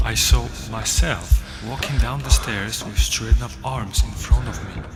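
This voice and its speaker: Background music is playing. A man delivers his words at a fairly slow pace. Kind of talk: read story. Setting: studio. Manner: soft-spoken. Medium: audio drama.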